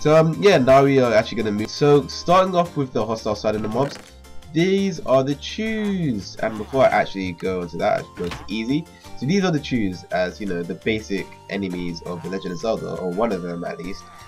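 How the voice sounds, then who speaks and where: Over music in the background, a man speaks at a medium pitch and a fairly quick pace. His pitch swings very widely, and his loudness swings a lot. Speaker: gamer showcasing mods. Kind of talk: casual game commentary. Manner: casual, hesitant with fillers.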